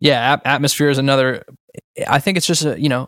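A man with an American accent uses an ordinary speaking voice with fairly even intonation. The sound is dry and close with no echo, on a very clean recording with a silent background. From Boston. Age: 20s. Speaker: hip-hop artist. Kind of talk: interview conversation. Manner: casual with many fillers.

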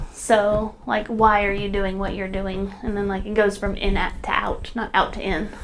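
A woman talks at a moderate pace with hardly any pauses. Her intonation is monotone and flat, with noticeable background noise. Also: medium pitch for a woman. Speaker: podcast co-host. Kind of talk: casual conversational podcast chat.

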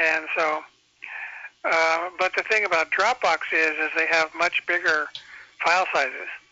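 A man speaks at a fairly slow pace with a high pitch, fairly even intonation and very even loudness, leaving long, frequent pauses. Noticeable background noise runs under an audible voice. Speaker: caller. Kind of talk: casual chat. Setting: phone call.

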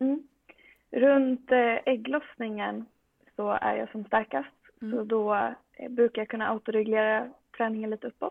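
A woman speaks at a moderate pace with a fairly high pitch and ordinary pitch variation. Her pauses are long and frequent. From Sweden, Västerås. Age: 20s. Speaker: medical student and powerlifter. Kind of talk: casual interview.

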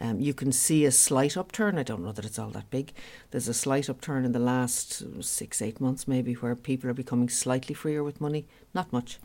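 A woman with a Dublin accent talks at a fairly quick pace, her voice very deep and low with a dark, mellow tone. Her pitch varies in an ordinary way, and the recording is very clean with a silent background. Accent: Dublin Irish. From Dublin, Ireland. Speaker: business owner. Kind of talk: interview.

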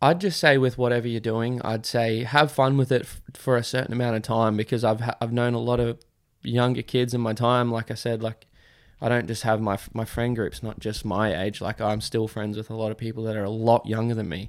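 In a very clean recording with a silent background, a man with an Australian accent speaks fairly quickly at medium pitch with fairly even intonation. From Australia, Queensland. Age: 20s. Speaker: professional motocross rider. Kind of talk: casual interview chat.

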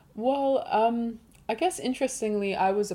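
A woman is speaking. Her tone is dark and mellow. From England, Hertfordshire. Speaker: musician and writer. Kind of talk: interview. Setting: studio.

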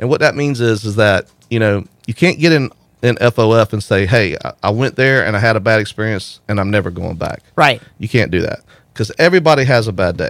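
In a very clean recording with a silent background, a man with an American accent and an unremarkable speaking voice talks at a fairly quick pace, his medium pitch carried by lively intonation. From St. Augustine, Florida. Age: 40s. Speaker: wastewater plant operator and community organizer. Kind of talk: casual interview. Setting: radio studio.

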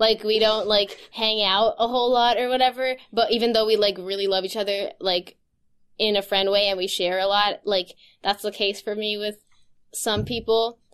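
The background is quiet as a woman talks at a fairly high pitch. Her intonation is monotone and flat, at a moderate pace. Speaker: podcast host. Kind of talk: casual chat. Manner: laughs often, informal.

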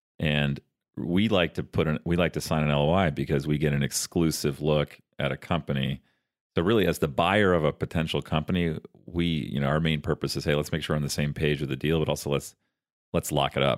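On a very clean recording with a silent background, a man with a very deep, low pitch and vocal fry talks at a fairly quick pace with fairly even intonation. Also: very even loudness, dry, close sound with no echo. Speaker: investor and podcast co-host. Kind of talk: casual conversational explanation. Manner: bantering, jokey.

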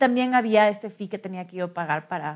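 Moderately paced speech from a woman, the background quiet. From Ecuador, Quito. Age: 30s. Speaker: social entrepreneur. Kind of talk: interview storytelling. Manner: hesitant with frequent fillers.

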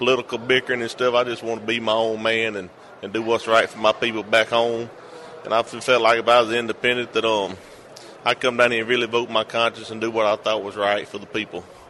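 Over noticeable background noise, a man speaks very fast at a medium pitch, in a Southern US accent with monotone, flat intonation. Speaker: state legislator. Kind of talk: interview. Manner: halting, repeats words.

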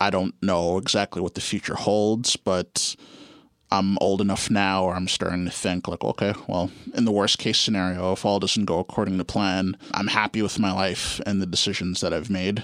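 Someone with a Canadian accent speaks at a moderate pace in a flat monotone, keeping a very even loudness. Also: man, very deep, low pitch for a man. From Canada, Guelph, Ontario. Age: 30s. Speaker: music producer. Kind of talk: interview. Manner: hesitant, many fillers.

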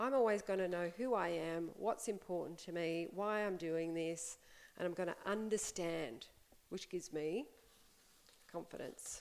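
A woman's calm, moderately paced speech with an Australian accent and ordinary pitch variation. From Australia, Melbourne. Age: 40s. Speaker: life coach. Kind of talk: interview conversation.

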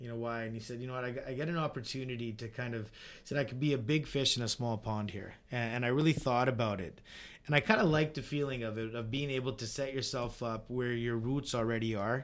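A man at medium pitch with a Canadian accent, very fast and fairly even in intonation. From British Columbia, Canada (Vernon). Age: 30s. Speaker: home builder. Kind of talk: interview.

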